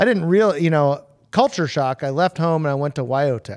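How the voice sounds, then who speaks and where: With an American accent, a man talks at a moderate pace in an ordinary speaking voice, fairly high in pitch with ordinary pitch variation. The sound is dry and close with no echo, on a very clean recording with a silent background. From San Diego, California. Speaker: hot rod fabricator. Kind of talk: casual chat.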